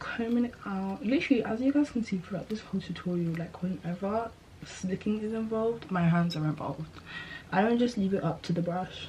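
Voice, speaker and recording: Noticeable background noise surrounds a woman speaking at a fairly quick pace. Her pitch is medium, with ordinary variation. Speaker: hair vlogger. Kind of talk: tutorial. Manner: casual, chatty.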